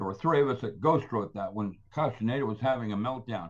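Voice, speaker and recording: This man's somewhat breathy voice carries lively intonation. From Philippines. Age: 80s+. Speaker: scientist and author. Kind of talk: casual interview. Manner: rambling, animated.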